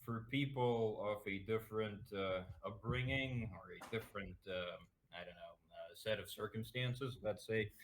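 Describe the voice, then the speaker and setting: A man with a medium pitch talks at a moderate pace in a somewhat breathy voice, with fairly even intonation and big swings in loudness. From Russia, Moscow. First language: Russian. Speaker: political streamer. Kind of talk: interview. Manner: halting, many fillers.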